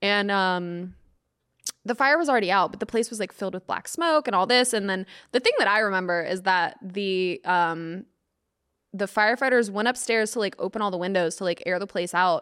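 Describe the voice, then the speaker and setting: A woman with an ordinary speaking voice talks at a fairly quick pace in an American accent, medium in pitch with ordinary pitch variation, on a very clean recording with a silent background. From US South, Atlanta. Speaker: comedian. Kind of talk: casual chat.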